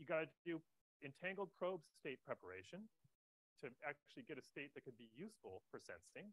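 A man talks at a fairly quick pace with vocal fry. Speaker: conference speaker. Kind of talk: lecture. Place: hall.

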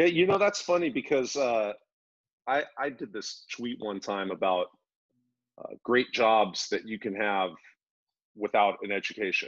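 Against a quiet background, a man at a medium pitch speaks fairly slowly with very wide pitch swings and long, frequent pauses. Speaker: podcast host. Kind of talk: casual interview. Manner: casual. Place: home room. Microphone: video call.

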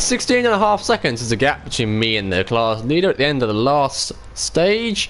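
A man with a British accent talks at a moderate pace, his pitch swinging very widely over light background noise. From UK. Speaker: gaming live streamer. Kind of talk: live gameplay commentary. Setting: home live stream. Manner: animated. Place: home room.

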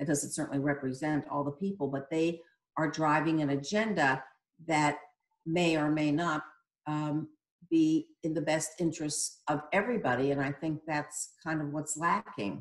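A woman's very deep, low voice with an American accent, at a moderate pace with fairly even intonation, audible room echo and a quiet background. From Connecticut, US Northeast. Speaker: reader participant. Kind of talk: panel discussion. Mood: earnest, critical. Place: home room. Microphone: video call.

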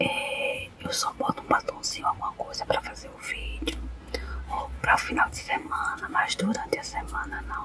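Loud background noise is present throughout. A woman talks through it at a moderate pace. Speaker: vlogger. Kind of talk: casual vlog chat. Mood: apologetic, humble. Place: car. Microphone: phone near.

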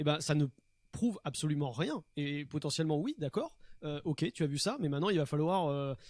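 A fairly quick pace with lively intonation and a slightly mellow tone. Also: man.

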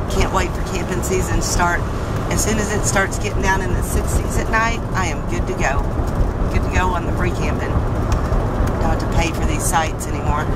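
Moderate pace and dry sound with no echo, under loud background noise. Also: woman. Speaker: van dweller vlogger. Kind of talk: casual vlog chat. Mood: cheerful, upbeat. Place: car. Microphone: phone near.

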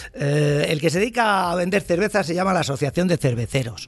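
With ordinary pitch movement, a man talks at a moderate speed in a somewhat breathy voice. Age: 60s. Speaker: advertising agency founder. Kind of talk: casual chat.

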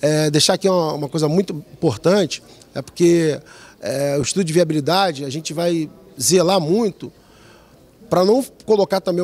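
With pitch that varies in an ordinary way, a man talks fairly quickly. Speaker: head of a metropolitan planning institute. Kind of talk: interview. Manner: halting. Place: hall. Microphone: handheld.

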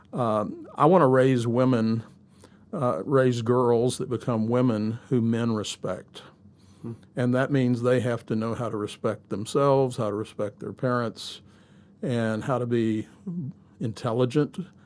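His pitch sits at a medium level as a man talks fairly slowly. The intonation stays mostly level. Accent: Southern US. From US South, Shreveport, Louisiana; Louisiana. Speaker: pastor; pastor guest. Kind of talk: casual interview. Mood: calm, measured, earnest. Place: studio. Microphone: studio mic.

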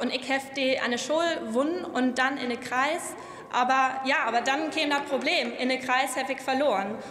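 Over light background noise and audible room echo, a woman speaks at a moderate pace with fairly even intonation. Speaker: politician, member of parliament. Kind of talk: parliamentary speech. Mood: warm, lightly humorous. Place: hall. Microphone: podium.

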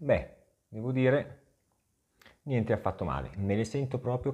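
Dark and mellow in tone with vocal fry, a man speaks fairly slowly, with long, frequent pauses and lively intonation. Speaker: tech product reviewer, video creator; tech reviewer. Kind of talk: product review vlog. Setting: outdoors, riding an e-bike. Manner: casual, chatty with many fillers. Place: home room. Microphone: lapel.

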